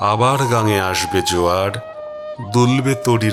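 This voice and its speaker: A fairly low male voice with ordinary pitch variation over background music. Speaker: reciter. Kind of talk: poetry reading. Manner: emotional, mournful.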